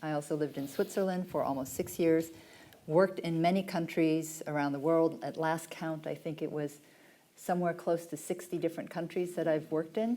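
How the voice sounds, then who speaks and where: A woman with an American accent talks at a fairly quick pace. Her fairly low voice has a dark, mellow tone and fairly even intonation. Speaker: pharma executive. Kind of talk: panel discussion.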